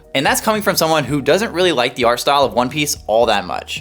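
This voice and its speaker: Over music in the background, a man speaks at a very fast pace with lively intonation. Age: 20s. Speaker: manga collector YouTuber. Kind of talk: review/unboxing video. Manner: casual, conversational.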